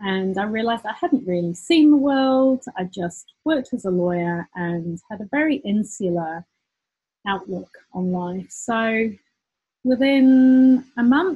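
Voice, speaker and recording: A woman speaks with a British accent in a fairly high, somewhat breathy voice. Her pace is fairly slow. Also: lively intonation. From UK. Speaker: business owner, former lawyer. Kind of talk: personal story monologue. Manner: hesitant with repetitions.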